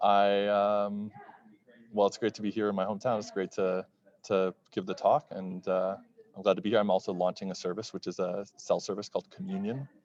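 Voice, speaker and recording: In an American accent, a man with a fairly low pitch speaks monotone and flat at a moderate pace, the sound dry and close with no echo. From Texas, Dallas area. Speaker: bitcoin entrepreneur. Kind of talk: conference interview. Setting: conference floor. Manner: halting.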